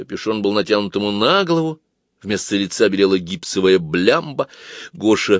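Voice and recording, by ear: Someone is reading aloud in a natural voice, with lively intonation against a quiet background.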